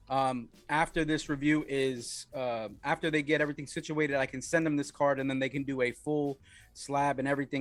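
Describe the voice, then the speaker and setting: Over a silent background in a very clean recording, a man with a New York accent speaks at a fairly quick pace, with a fairly high pitch and monotone, flat intonation. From Wyoming. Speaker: card game developer and stream host. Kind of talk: casual livestream update. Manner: casual, hesitant with many fillers.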